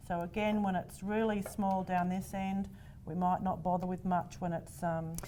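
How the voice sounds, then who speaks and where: With an Australian accent, a woman talks at a moderate pace in a medium pitch, her intonation flat and monotone over noticeable background noise. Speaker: quilting teacher. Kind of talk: tutorial.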